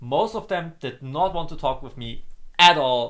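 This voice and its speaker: With a German accent, a man speaks at a fairly slow pace in a fairly high pitch. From Germany. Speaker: gaming streamer. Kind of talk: casual chat. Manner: halting, many repeated words.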